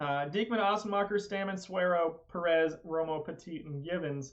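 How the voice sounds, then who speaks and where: A man talks at a high pitch with ordinary pitch variation. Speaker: video game streamer. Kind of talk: live stream commentary. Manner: fast.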